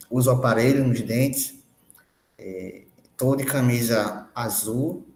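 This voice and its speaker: A man speaks at a very slow pace. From Rio Grande do Norte interior, Brazil. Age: 20s. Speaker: university student. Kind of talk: personal testimony in online meeting. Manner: halting, with fillers.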